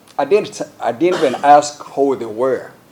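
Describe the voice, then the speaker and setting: Noticeable background noise sits behind a man with an American accent. He speaks at a medium pitch and a moderate pace. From Uganda. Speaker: member of parliament. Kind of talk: public address recounting events.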